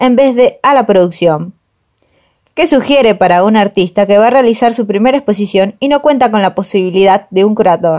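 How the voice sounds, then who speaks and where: A woman talks at a moderate pace in an unremarkable speaking voice, fairly high in pitch with lively intonation. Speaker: podcast co-host, art student. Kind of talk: casual chat.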